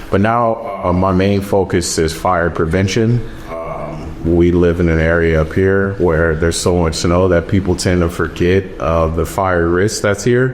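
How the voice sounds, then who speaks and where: A man's very deep, low pitch at a fairly slow pace, with fairly even intonation, very even loudness and hardly any pauses, over noticeable background noise. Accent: American. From California. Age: 30s. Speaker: wildland firefighter. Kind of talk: casual interview.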